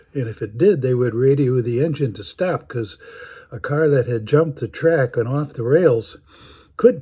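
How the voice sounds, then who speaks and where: Somewhat breathy man with an American accent, fairly high in pitch, at a moderate pace with big swings in loudness. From US Midwest, Chicago. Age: 80s+. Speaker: storyteller. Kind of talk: storytelling. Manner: halting, many fillers.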